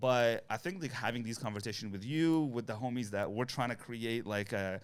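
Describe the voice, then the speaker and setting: A man's medium-pitched voice at a fairly quick pace, very cleanly recorded over a silent background. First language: not English. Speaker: content creator. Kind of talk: casual chat.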